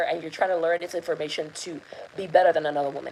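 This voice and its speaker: The speech comes at a very fast pace with a non-native accent. Noticeable background noise sits under the voice. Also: woman. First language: not English. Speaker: love and intuition coach. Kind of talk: live masterclass talk. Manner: hesitant, many fillers.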